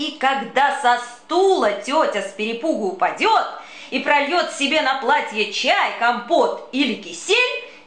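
The speaker moves very slowly through the words with very wide pitch swings while noticeable background noise carries on. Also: woman, high pitch for a woman. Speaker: actress. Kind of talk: humorous children's poetry reading.

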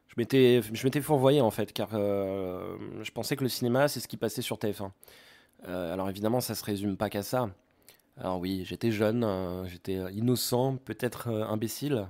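A man's dark, mellow tone carries ordinary pitch variation as he speaks at a moderate pace. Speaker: YouTuber and amateur artist. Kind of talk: casual film review monologue. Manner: hesitant, many fillers.

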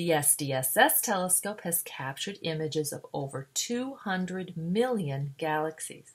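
In an American accent, a woman with a fairly low pitch speaks at a moderate pace with lively intonation and a somewhat breathy quality. The recording is very clean, with a silent background. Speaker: science educator. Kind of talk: educational narration.

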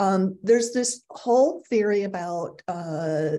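A woman speaks fairly slowly in a dark, mellow tone. Her intonation is lively. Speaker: agile coaching speaker. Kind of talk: webinar presentation. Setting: video call. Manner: casual, many filler words. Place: home room. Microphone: webcam.

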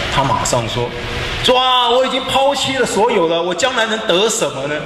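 Noticeable background noise and audible room echo around a male speaker. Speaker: preacher. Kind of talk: sermon. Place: church.

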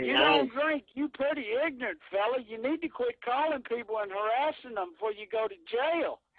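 Lively intonation marks this Southern US accent, delivered at a fairly quick pace. The sound is dry with no echo over a quiet background. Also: man, extremely high pitch for a man. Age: 40s. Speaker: call recipient. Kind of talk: angry phone conversation. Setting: phone. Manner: angry, threatening. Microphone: phone line.

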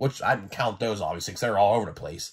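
Here a man speaks in a somewhat breathy voice. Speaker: toy collector YouTuber. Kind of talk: casual monologue video. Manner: casual, energetic.

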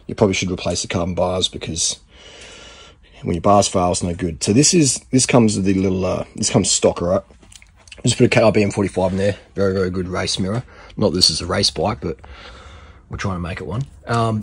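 A somewhat breathy man with a fairly low pitch, at a fairly quick pace and with ordinary pitch variation. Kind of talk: tutorial. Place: garage. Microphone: phone near.

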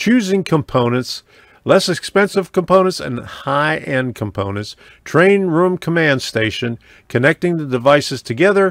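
Speaking at a moderate pace, a man swings his pitch very widely, and the sound is dry with no echo. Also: quiet background. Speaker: hobbyist tutorial maker. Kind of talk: tutorial.

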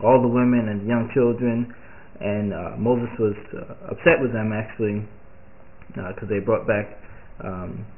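Over light background noise, a man talks at a moderate pace in a monotone, flat delivery. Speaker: home bible teacher. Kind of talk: biblical commentary. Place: home room. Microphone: webcam.

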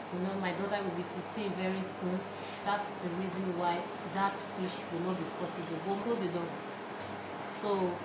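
Amid loud background noise, a woman speaks at a moderate pace with long, frequent pauses. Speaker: home cook vlogger. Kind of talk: casual vlog chat. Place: kitchen.

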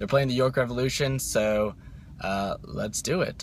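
A man with a plain, everyday voice, dry sound with no echo and light background noise. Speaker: vlogger. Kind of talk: casual vlog chat. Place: car. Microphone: phone near.

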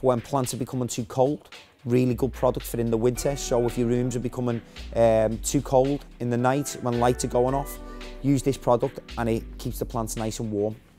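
A man speaks in a monotone, flat intonation while clear music plays in the background. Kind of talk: product demonstration. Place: shop.

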